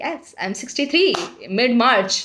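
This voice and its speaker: A woman speaks with an Indian accent. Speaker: weight loss vlogger. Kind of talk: casual vlog talk.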